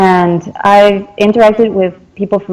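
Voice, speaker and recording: A woman's dark, mellow tone with a Spanish accent, fairly even intonation and a moderate pace. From Argentina, Salta. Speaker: translator and interpreter. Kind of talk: interview.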